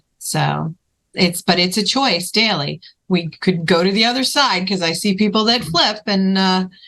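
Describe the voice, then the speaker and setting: A woman with a bright, sharp tone speaks at a moderate pace, her loudness very even. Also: medium pitch for a woman, ordinary pitch variation. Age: 50s. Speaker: podcast host and filmmaker. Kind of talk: interview chat.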